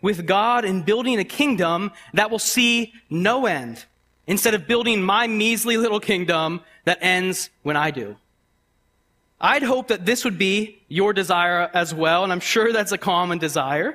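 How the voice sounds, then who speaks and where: A man's raised, projected voice, bright and sharp in tone, high-pitched, with lively intonation at a fairly slow pace. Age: 20s. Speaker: guest preacher. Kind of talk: sermon.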